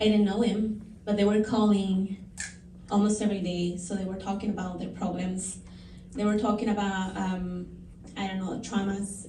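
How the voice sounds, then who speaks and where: In a Spanish accent, a woman speaks at a moderate pace in a medium pitch with monotone, flat intonation and long, frequent pauses, amid noticeable background noise and audible room echo. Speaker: counselor. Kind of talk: panel testimony. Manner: halting, many fillers.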